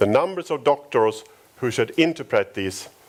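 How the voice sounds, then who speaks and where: In a Swedish accent, a man talks at a moderate pace, his pitch swinging very widely. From Sweden, Stockholm. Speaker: company founder. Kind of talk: conference talk. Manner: halting.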